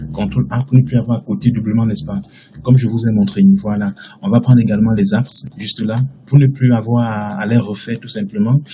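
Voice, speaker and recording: A man speaks at a fairly quick pace with lively intonation and a medium pitch, over noticeable background noise. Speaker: architecture software instructor. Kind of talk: tutorial. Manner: fast.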